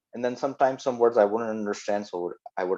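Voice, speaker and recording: In a non-native accent, the speaker talks at a fairly quick pace with a dark, mellow tone and ordinary pitch variation. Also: man. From Pakistan. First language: not English. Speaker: software developer. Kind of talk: talk to youth. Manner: halting.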